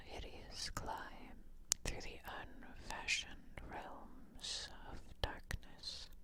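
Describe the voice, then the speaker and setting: The speech is whispering. It moves at a very slow pace. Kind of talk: ASMR whispered story reading. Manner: whispered, soft.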